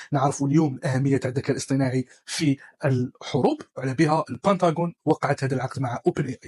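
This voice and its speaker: The man here talks at a fairly quick pace. The sound is dry and close, with no echo. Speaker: tech news presenter. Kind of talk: news roundup, casual dialect.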